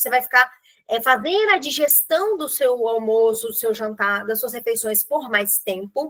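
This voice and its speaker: A woman with a high pitch and a bright, sharp tone speaks at a fairly slow pace with lively intonation. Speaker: nutritionist. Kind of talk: online group meeting talk.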